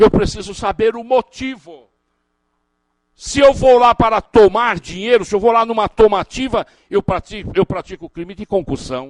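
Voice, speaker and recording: A man with a high pitch speaks animatedly at a moderate pace, his loudness swinging a lot while his pitch varies in an ordinary way, the sound dry and close with no echo. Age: 60s. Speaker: criminal defense lawyer and law professor. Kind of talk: lecture.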